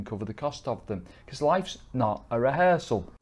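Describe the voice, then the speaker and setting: A man with an English accent. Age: 50s. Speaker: wealth manager; presenter. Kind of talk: sales pitch. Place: office. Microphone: lapel.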